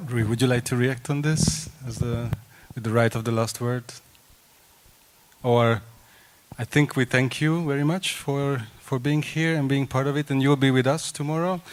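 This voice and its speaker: A man with a Hungarian accent speaks at a moderate pace, leaving long, frequent pauses. His medium pitch shows ordinary variation. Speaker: panel moderator. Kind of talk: event moderation.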